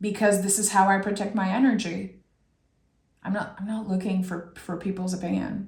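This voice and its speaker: Audible room echo surrounds this recording. A woman talks at a medium pitch and a fairly slow pace. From France. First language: French. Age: 30s. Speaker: tarot reader. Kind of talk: tarot reading; casual chat.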